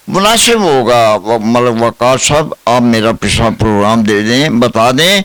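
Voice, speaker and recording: A man of medium pitch talks with lively intonation and hardly any pauses, his loudness very even. Noticeable background noise runs underneath. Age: 80s+. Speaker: pensioner activist. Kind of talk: interview.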